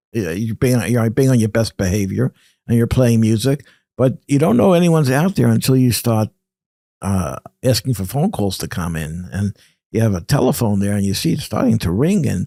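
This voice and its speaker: With a New York accent, a man talks at a fairly quick clip, his tone dark and mellow and his intonation lively, in a very clean, dry, close recording with no echo and a silent background. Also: medium pitch for a man. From Brooklyn, New York. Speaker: radio pioneer and journalist. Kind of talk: interview. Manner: halting.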